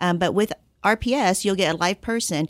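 A woman's normal speaking voice at medium pitch, at a fairly quick pace. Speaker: insurance client services director. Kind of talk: radio interview, informational discussion.

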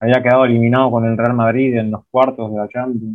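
Here a man talks at a fairly quick pace. His medium-pitched voice stays monotone and flat. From Uruguay, interior (outside Montevideo). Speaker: documentary filmmaker. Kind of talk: interview.

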